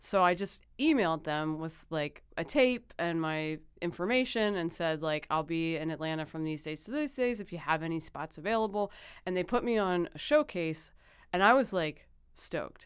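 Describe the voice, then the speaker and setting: A woman with an American accent speaks in an ordinary speaking voice, her pitch fairly low and her intonation lively. She talks at a moderate pace on a very clean recording with a silent background. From Philadelphia. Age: 30s. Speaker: comedian. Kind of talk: casual chat.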